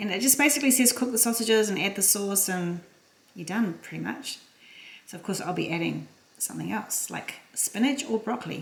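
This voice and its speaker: A woman talks at a fairly quick pace. Her fairly high voice has ordinary pitch variation. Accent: Australian. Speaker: cooking vlogger. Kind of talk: casual cooking vlog. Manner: fast.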